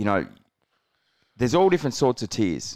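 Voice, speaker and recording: Here a man talks with an Australian accent at a fairly quick pace. The sound is dry and close, with no echo. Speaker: podcast co-host. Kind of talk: casual chat.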